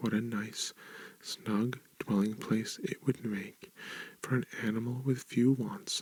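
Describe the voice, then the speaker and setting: This voice is soft-spoken with lively intonation. It moves at a moderate pace. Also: man. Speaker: ASMR reader. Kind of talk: ASMR book reading. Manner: soft-spoken, relaxing.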